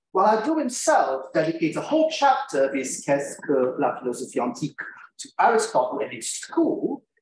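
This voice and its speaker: A man is heard over light background noise, with audible echo in the room. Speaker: conference presenter. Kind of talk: academic lecture. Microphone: webcam.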